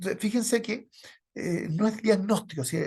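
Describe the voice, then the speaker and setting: A man talks very fast, with little sound behind him. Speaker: medical lecturer. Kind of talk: lecture. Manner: intense.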